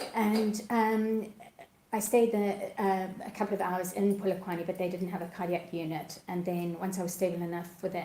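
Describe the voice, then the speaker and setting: A woman keeps a moderate pace and fairly even intonation, with audible room echo and noticeable background noise around her. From Zimbabwe. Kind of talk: interview testimony. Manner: hesitant, with fillers.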